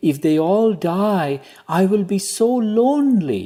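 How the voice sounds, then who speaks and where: A man's high, put-on character voice with lively intonation at a fairly slow pace. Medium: read story. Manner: sly.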